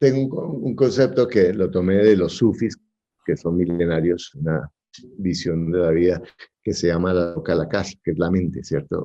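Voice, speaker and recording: Pitched very deep and low, a man has a dark, mellow tone. He moves at a fairly slow pace with lively intonation. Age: 60s. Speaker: real estate investor. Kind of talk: interview.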